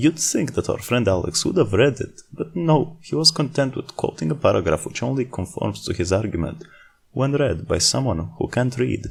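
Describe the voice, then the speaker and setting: This man has a non-native accent and very wide pitch swings. He speaks at a moderate pace. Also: medium pitch for a man. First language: not English. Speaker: video essayist. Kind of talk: scripted commentary.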